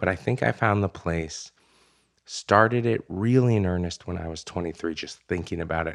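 A man speaks with a very deep, low pitch and an American accent, at a fairly quick pace with ordinary pitch variation. The recording is very clean, with a silent background. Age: 30s. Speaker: memoirist and author. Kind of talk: interview conversation. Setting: studio.

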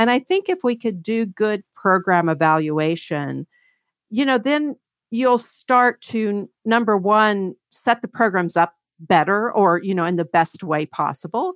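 A woman with an American accent speaks in a normal speaking voice at a medium pitch, recorded very cleanly against a silent background. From Kentucky, small town on the Ohio River. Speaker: economist. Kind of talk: interview.

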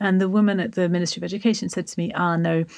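A woman with an English accent, fairly low pitch, vocal fry and ordinary pitch variation at a very fast pace in a very clean recording with a silent background. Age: 40s. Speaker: author and charity founder. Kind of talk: interview storytelling.

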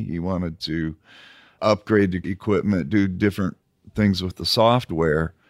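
A man speaks at a moderate pace in a very deep, low voice with ordinary pitch variation. The sound is dry and close with no echo, a very clean recording with a silent background. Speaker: pipe inspection technology specialist. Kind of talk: podcast interview.

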